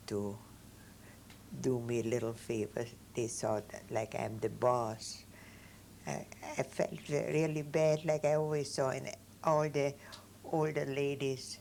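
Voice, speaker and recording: A very slow delivery with long, frequent pauses, vocal fry, a dark, mellow tone and lively intonation. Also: woman. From Vienna, Austria. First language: German. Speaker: Holocaust survivor. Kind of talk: interview answer.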